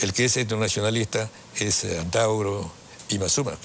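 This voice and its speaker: Noticeable background noise accompanies a man speaking with a fairly low pitch. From Peru. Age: 80s+. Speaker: father of a politician, lawyer and ideologue. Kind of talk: interview. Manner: halting.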